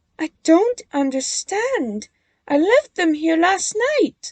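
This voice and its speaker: A woman puts on a squeaky character voice, pitched extremely high. She speaks very slowly. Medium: read story. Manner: firm, assertive.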